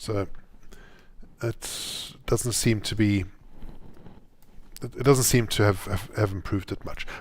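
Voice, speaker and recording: A man's fairly low voice at a fairly slow pace, in a very clean recording with a silent background. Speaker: Java programmer streaming live coding. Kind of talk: live coding tutorial. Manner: halting, many repeated words and fillers.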